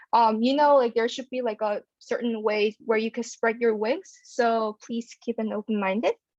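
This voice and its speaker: A woman with a Korean accent, fairly high-pitched, at a moderate pace with hardly any pauses and fairly even intonation. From South Korea. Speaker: pharmacy student. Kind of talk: panel talk. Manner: hesitant, many fillers.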